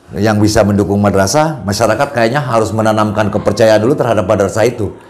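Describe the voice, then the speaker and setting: Recorded with noticeable background noise and audible room echo, a man speaks in a fairly low pitch. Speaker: madrasah head. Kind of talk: podcast interview conversation.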